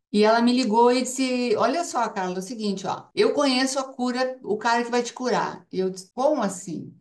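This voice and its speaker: A woman speaks with a high-pitched voice. Her pitch varies in an ordinary way. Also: moderate pace, hardly any pauses. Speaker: cancer survivor and ozone therapy promoter. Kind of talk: personal testimony.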